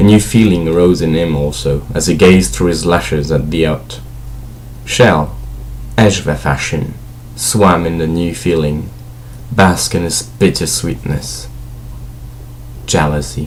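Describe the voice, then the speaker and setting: Against noticeable background noise, a man with a very deep, low pitch speaks at a fairly slow pace with lively intonation and long, frequent pauses. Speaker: amateur audiobook reader. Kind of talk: fantasy novel read aloud.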